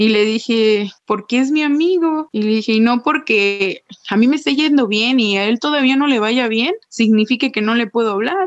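A woman with an unremarkable speaking voice, fairly high in pitch with ordinary pitch variation, at a fairly slow pace. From Mexico, Puerto Vallarta. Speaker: Paralympic athlete. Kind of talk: interview.

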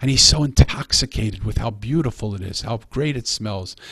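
A man speaks with a New York accent. His pace is fairly quick. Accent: New York-sounding. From Philadelphia, US. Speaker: author. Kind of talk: interview.

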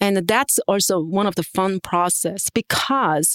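In a very clean recording with a silent background, a woman with a Korean accent speaks at a medium pitch, the sound dry and close with no echo. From South Korea. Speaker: art professor and printmaker. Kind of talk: interview. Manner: halting.

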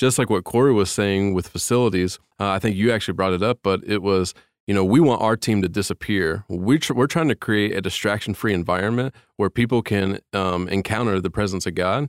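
A man with an American accent uses an ordinary speaking voice, fairly low in pitch with ordinary pitch variation, at a fairly quick pace. The recording is very clean, silent in the background, and dry and close with no echo. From Indiana, US Midwest. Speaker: technical director at church. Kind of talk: casual interview.

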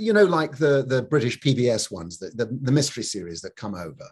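A man speaks at a medium pitch and a fairly quick pace. His slightly mellow tone carries a slightly husky edge and lively intonation.

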